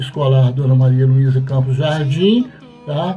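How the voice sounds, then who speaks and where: Over music in the background, a man speaks at medium pitch and a moderate pace. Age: 70s. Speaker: former student of a state boarding school. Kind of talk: testimony. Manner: halting.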